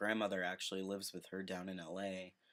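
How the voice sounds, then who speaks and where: The man's voice sits at a fairly low pitch. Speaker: vlogger. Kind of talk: casual chat. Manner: hesitant, many fillers.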